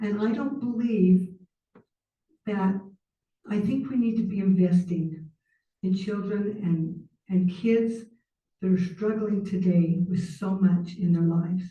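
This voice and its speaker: A somewhat breathy woman with an American accent, medium pitch, a dark, mellow tone and fairly even intonation, at a fairly slow pace with long, frequent pauses. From Utah. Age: 60s. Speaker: public commenter. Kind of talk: public comment at council meeting. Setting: city council meeting.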